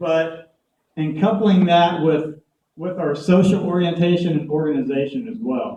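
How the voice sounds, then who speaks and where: Someone with a Southern US accent speaks at a fairly slow pace with ordinary pitch variation. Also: man, high pitch for a man. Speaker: conference speaker. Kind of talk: presentation talk. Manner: hesitant fillers.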